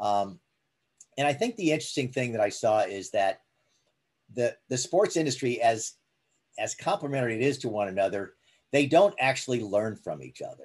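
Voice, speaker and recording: Against a quiet background, a man at medium pitch talks with lively intonation at a moderate pace, leaving long, frequent pauses. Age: 60s. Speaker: sports business executive. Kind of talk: interview.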